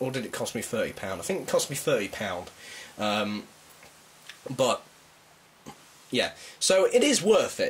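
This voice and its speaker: Speech at a moderate pace with long, frequent pauses over noticeable background noise. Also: man. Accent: British. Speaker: toy reviewer. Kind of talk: product review. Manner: casual, hesitant with fillers.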